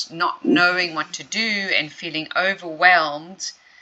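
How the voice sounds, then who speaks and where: Noticeable background noise sits behind a woman speaking with a fairly low pitch. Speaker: hypnotherapist. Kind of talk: client interview, conversational.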